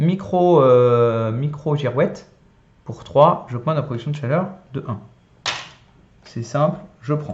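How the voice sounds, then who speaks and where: A man's fairly high-pitched, somewhat breathy voice at a very slow pace, with long, frequent pauses and ordinary pitch variation. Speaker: board game youtuber. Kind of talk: solo gameplay tutorial. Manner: casual, hesitant with many euh.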